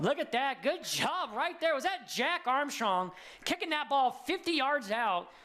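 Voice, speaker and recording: With an American accent, a man speaks in a raised, projected voice at an extremely high pitch and a fairly slow pace. His tone is animated, with lively intonation and very even loudness over noticeable background noise. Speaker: sports commentator. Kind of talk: live commentary.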